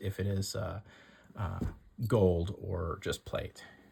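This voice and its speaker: A man talks in a somewhat breathy voice with monotone, flat intonation. The recording is very clean, with a silent background. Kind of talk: casual talk to camera.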